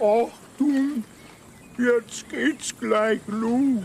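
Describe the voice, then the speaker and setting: A put-on character voice with a fairly high pitch comes through over clear background noise. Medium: comedy sketch.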